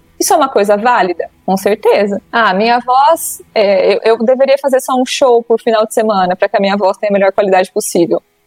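In an ordinary speaking voice, a woman with a fairly high pitch talks at a fairly quick pace with ordinary pitch variation and hardly any pauses. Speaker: psychologist. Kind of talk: casual interview chat.

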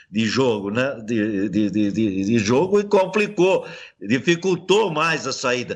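Very wide pitch swings mark this man's speech. He talks at a very slow pace over a quiet background. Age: 70s. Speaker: retired footballer. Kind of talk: interview.

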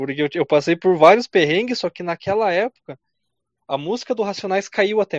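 With lively intonation and big swings in loudness, a man speaks in a high voice at a fairly quick pace. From southern Brazil, Rio Grande do Sul (Carazinho). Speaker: podcast host. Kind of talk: casual chat.

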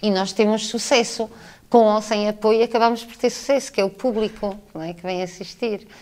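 In an ordinary speaking voice, a woman with a fairly high pitch talks at a moderate pace, her intonation fairly even and her loudness swinging widely. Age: 50s. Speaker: theatre director and teacher. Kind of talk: radio interview. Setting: theatre stage backstage.

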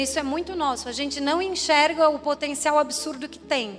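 Moderate pace over noticeable background noise. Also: woman. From Florianópolis, Brazil. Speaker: entrepreneur, club co-founder. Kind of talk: event speech.

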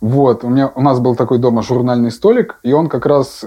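A man with a medium pitch has a dark, mellow tone and fairly even intonation. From Russia, Yaroslavl. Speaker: rock band drummer. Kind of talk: casual interview chat. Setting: drum shop.

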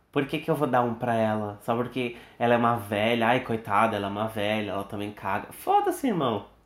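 With ordinary pitch variation, an ordinary speaking voice delivers the words. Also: man. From Brazil. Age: 20s. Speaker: podcast host, medical student. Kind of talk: casual chat.

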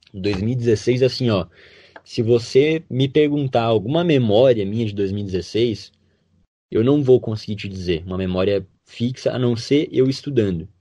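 At a fairly slow pace, a man speaks at a medium pitch in a dark, mellow tone with ordinary pitch variation. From western Santa Catarina, Brazil. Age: young. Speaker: medical student. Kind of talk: interview.

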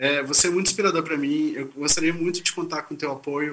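Here a man talks at a very fast pace. His voice is high-pitched, with a bright, sharp tone. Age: 40s. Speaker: author and moderator. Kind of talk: panel conversation. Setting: video call from office. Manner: halting.

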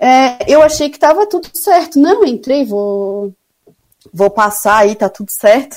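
A woman's pitch swings very widely as she talks at a fairly slow pace. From Brazil, Florianópolis (Santa Catarina). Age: 30s. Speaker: sanitary and environmental engineer. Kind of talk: radio interview. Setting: remote call into radio show.

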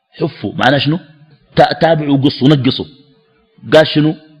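A man with a Sudanese accent and fairly high pitch. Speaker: Islamic preacher. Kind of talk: religious lecture. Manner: animated.

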